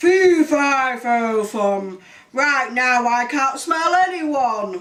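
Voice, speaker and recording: In a put-on character voice, a woman talks with a high pitch. Her pace is very slow. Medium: read story.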